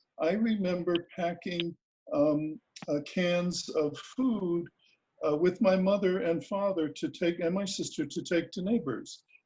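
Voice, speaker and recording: A man with an American accent speaks in a high pitch. His tone is dark and mellow, with ordinary pitch variation. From US Northeast, Bridgeport, Connecticut. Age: 80s+. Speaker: retired professor and activist. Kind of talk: personal storytelling talk. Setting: video call event. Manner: halting, many fillers.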